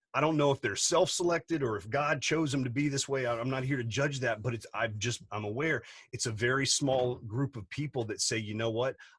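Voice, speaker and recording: In a very clean recording with a silent background, a man speaks in a somewhat breathy voice. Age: 40s. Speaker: business coach and entrepreneur. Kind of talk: podcast interview. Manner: animated.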